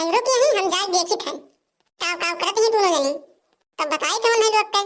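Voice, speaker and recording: A woman performs a cartoonish character voice, squeaky and extremely high, with lively intonation at a fairly quick pace. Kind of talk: rustic cartoon comedy. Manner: bossy, scolding.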